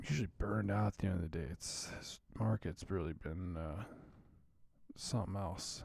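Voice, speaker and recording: A man's very deep, low, somewhat breathy voice at a moderate pace. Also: ordinary pitch variation. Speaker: stock market commentator. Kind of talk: live market commentary stream. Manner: casual, profane.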